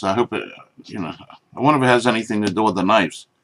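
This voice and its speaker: This is a man speaking with an American accent. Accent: New Jersey, others say he talks funny. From New Jersey. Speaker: knife reviewer, YouTuber. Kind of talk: product review. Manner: casual, rambling with fillers.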